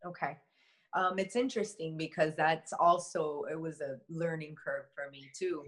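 An unremarkable speaking voice from a woman with an American accent, fairly low in pitch, with ordinary pitch variation, a moderate pace and big swings in loudness. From US, Miami, Florida. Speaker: shaman and energy healer. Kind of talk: interview conversation.

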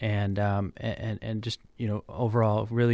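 Here a man speaks with an American accent at a moderate pace, his pitch medium and his intonation monotone and flat. The recording is very clean, with a silent background. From New Hampshire, US. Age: 30s. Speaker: political candidate. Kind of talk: radio interview. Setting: radio studio. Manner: halting, many fillers.

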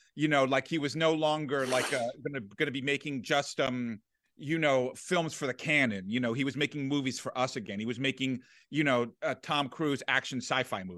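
A man with an American accent and a plain, everyday voice, medium in pitch with ordinary pitch variation, at a moderate pace against a quiet background. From Washington, D.C. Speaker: film critic. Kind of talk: casual chat.

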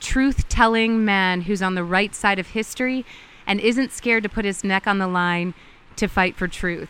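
Her tone bright and sharp, a woman of medium pitch speaks at a moderate pace with ordinary pitch variation. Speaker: podcast host and journalist. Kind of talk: scripted intro narration. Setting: outdoors in rainforest.

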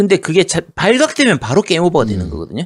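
Fairly quick pace on a very clean recording with a silent background. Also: man. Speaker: gaming podcast co-host. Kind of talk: casual chat.

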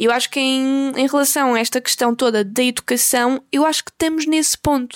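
In a European Portuguese accent, a woman with a high pitch talks at a moderate pace. Her intonation is fairly even, and the sound is dry and close with no echo. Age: 20s. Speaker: podcast host and YouTuber. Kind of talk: casual monologue. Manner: halting, many fillers.

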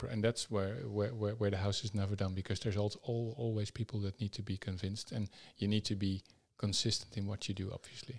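Very fast and somewhat breathy, a man talks at a fairly low pitch with fairly even intonation, on a very clean, dry, close recording with no echo and a silent background. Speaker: podcast host. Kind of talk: interview.

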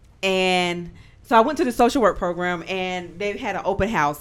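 A woman speaks at a fairly quick pace with a medium pitch. It is an ordinary speaking voice. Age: 30s. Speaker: author. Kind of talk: casual chat.

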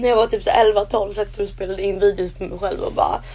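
With music playing behind her, a woman speaks at a very fast pace. Her pitch is medium and her intonation fairly even. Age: 20s. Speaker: podcast co-host. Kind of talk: casual chat.

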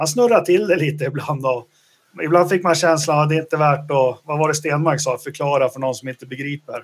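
The speaker has an unremarkable speaking voice with ordinary pitch variation. The pace is fairly quick. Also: man, fairly high pitch for a man. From Sweden, Västerås. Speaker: podcast host. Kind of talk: casual chat.

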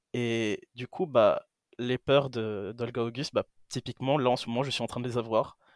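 This man has an unremarkable speaking voice at a medium pitch. He talks at a fairly slow pace with fairly even intonation. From Greece. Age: 20s. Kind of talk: casual chat.

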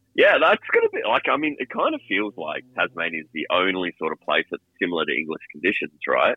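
A man with an Australian accent talks with hardly any pauses. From Sydney. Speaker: caller. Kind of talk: casual chat. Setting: phone call.

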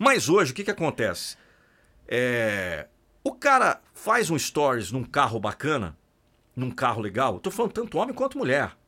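This man's pitch is fairly high and swings very widely. His tone is bright and sharp, with vocal fry. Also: moderate pace. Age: 40s. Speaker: podcast host and motivational voice-over artist. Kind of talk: casual interview chat. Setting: studio. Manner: animated.

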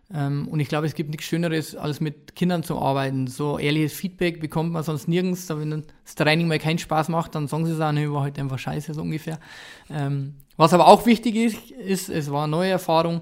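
A man with a normal speaking voice, fairly high pitch and ordinary pitch variation, a fairly quick pace, on a very clean recording with a silent background. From Bavaria, Ingolstadt area. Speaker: former professional footballer, youth football coach. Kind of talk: casual interview.

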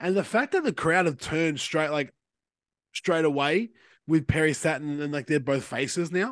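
Fairly high-pitched man with an Australian accent, ordinary pitch variation, and a quiet background. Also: moderate pace. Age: 20s. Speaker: podcast co-host. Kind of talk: casual chat.

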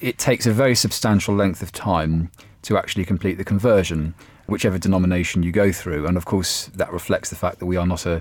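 Music plays in the background while the speaker talks at a fairly quick pace. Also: man. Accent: British. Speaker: journalist and author. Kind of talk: panel discussion.

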